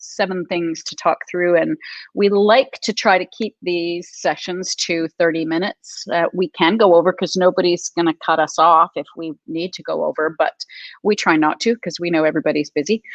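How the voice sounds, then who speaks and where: There is a quiet background as a woman speaks in an ordinary speaking voice, medium in pitch, at a moderate pace with fairly even intonation and a dry, close sound with no echo. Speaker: publisher and webinar host. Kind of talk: live webinar chat. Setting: live stream video call.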